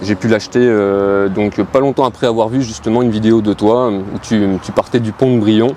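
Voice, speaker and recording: Over noticeable background noise, a man speaks at a fairly slow pace, his medium pitch showing ordinary variation. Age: 30s. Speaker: amateur muscle car driver, competition contestant. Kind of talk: casual interview. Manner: halting, many hesitations.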